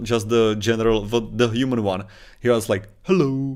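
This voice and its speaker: Spoken with a Czech accent at a moderate pace, the voice keeps a fairly even intonation on a very clean recording with a silent background. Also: man. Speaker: podcast co-host. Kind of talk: casual chat. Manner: halting.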